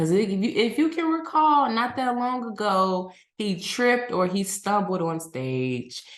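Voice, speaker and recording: Talking with an American accent, a woman moves at a fairly slow pace. Her pitch swings very widely. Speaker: podcast host. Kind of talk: casual commentary monologue.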